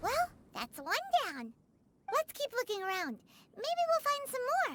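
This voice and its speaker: Someone puts on a character voice at an extremely high pitch that swings very widely. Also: moderate pace. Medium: machinima. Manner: chatty, expressive.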